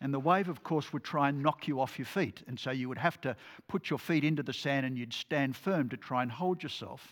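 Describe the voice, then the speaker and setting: Australian accent, ordinary pitch variation, and a very clean recording with a silent background. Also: man, fairly high pitch for a man. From Australia, New South Wales. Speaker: lay preacher. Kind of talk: sermon.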